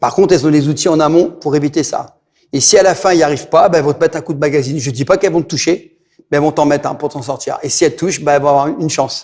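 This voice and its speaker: Talking at a very fast pace, a man uses a fairly high-pitched voice. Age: 60s. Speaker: martial arts instructor. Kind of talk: interview. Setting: martial arts gym. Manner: animated.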